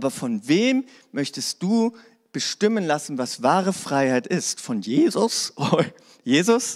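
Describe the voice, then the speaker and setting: A man talking at a very slow pace with very wide pitch swings, in a dry, close sound with no echo. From Hannover, northern Germany. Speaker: pastor. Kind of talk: sermon. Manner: casual.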